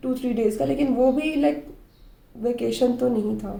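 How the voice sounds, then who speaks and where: A woman talks at a fairly slow pace, and audible room echo hangs around her words. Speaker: mommy vlogger. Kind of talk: casual vlog monologue. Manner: conversational, frequent fillers.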